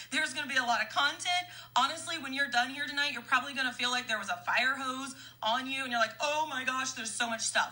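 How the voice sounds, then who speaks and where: Over noticeable background noise, a woman with an American accent and a high pitch speaks in a raised, projected voice at a very fast pace, animated in tone with ordinary pitch variation. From US Midwest, Kansas. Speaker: network marketing leader. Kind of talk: live-stream training. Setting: Facebook Live stream.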